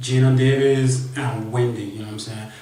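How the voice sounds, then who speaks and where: Over noticeable background noise and audible room echo, a man talks at a moderate pace in a medium pitch with a monotone, flat intonation. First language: not English. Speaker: vlogger. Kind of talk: casual storytelling monologue. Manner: halting, repetitive.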